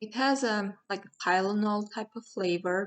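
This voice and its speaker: A woman with a strong Armenian accent, at a fairly slow pace with ordinary pitch variation. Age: 40s. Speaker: product reviewer. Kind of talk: product review. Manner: halting, with fillers.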